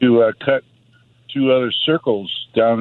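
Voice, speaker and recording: The speaker is a man with an ordinary speaking voice. His pitch is medium and his intonation fairly even. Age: 60s. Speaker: caller. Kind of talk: phone-in testimony.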